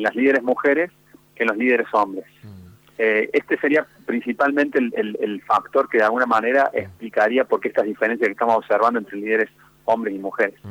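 A man with an unremarkable speaking voice talks at a fairly quick pace in a medium pitch, with fairly even intonation and a dry, close sound with no echo. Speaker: university research director. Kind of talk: radio phone interview. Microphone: line dropped out.

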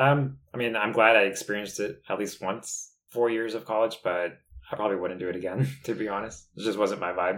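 In a normal speaking voice, a man talks fairly quickly. His intonation stays fairly even, and his pitch sits fairly low. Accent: American. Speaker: podcast co-host, college student. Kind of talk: casual chat.

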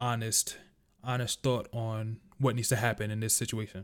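A man with a New York accent at a fairly quick pace, in a very clean recording with a silent background. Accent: New York (Bronx). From New York City (Bronx). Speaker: sports podcast host. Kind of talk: casual sports talk monologue. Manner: casual, filler-heavy.

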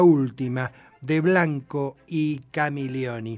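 A man speaks very slowly in a fairly high voice, his pitch varying in an ordinary way. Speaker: radio host. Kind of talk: radio music show presenting.

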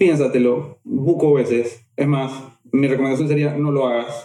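Fairly slow and fairly high in pitch, this man has an ordinary speaking voice. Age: 30s. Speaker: therapist or coach. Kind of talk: casual interview chat.

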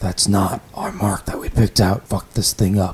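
Using a gruff, put-on character voice, a man speaks at a moderate pace with fairly low pitch and flat, monotone intonation. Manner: irritated, arguing.

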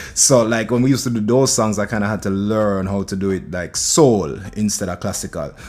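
Over noticeable background noise, a man with a Jamaican accent talks fairly quickly with hardly any pauses, at a fairly low pitch and with ordinary pitch variation. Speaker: reggae and dancehall singer. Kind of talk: casual chat.

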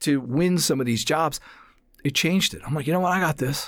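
On a very clean recording with a silent background, a man with an American accent and a plain, everyday voice speaks at a fairly high pitch with ordinary pitch variation. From New Jersey, US. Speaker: voice actor and casting booth director. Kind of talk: casual interview. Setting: studio.

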